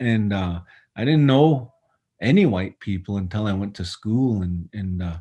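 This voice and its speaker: A man speaks at a fairly slow pace, his fairly low pitch showing ordinary variation. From southern Alberta, Canada (Blood reserve). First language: Blackfoot. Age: 40s. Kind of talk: personal storytelling talk. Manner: halting, many fillers.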